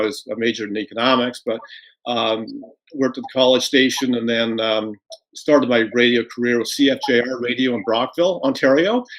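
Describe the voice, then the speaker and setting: A man talks at a fairly quick pace in an unremarkable speaking voice. His pitch is medium and his intonation fairly even. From Canada, Toronto. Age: 60s. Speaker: former radio executive. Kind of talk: interview.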